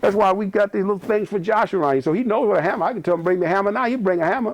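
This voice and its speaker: Talking at a very fast pace, a man with an American accent has a high pitch and ordinary pitch variation. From US South. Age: 60s. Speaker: retired police officer and broadcaster. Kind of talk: interview. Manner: repetitive, halting.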